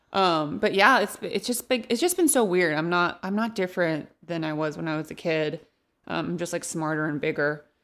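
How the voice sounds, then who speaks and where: A woman in an ordinary speaking voice with an American accent, fairly low pitch, ordinary pitch variation and a moderate pace, on a very clean recording with a silent background. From Central Valley of California (Modesto). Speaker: stand-up comedian. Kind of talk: casual chat.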